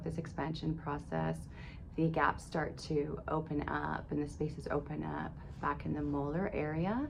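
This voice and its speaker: Woman at a fairly slow pace amid audible room echo. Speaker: video blogger documenting dental treatment. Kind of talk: personal vlog update. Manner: reflective, conversational.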